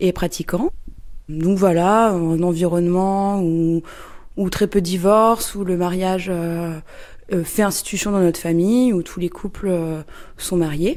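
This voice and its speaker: Very slowly, a woman speaks in a dark, mellow tone at a fairly low pitch with fairly even intonation. The recording is very clean, with a silent background. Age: 30s. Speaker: interviewee. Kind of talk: testimony. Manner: halting, many hesitations.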